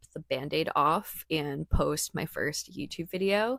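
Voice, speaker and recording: A woman speaks in a bright, sharp tone with vocal fry. Her pitch moves in an ordinary way. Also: dry, close sound with no echo. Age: 20s. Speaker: vlogger and creator entrepreneur. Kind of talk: vlog narration. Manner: casual.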